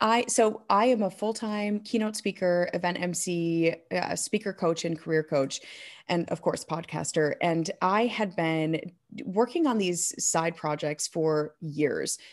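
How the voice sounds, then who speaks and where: A woman speaks at a fairly slow pace with a US Midwestern accent, her pitch fairly low and its variation ordinary, on a very clean recording with a silent background. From Michigan, US. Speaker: keynote speaker and event emcee. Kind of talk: interview conversation.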